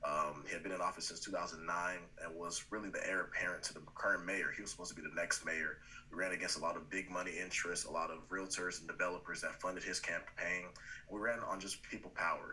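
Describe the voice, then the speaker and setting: Noticeable background noise behind a man talking very fast. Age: 20s. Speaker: city council member. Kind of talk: panel discussion.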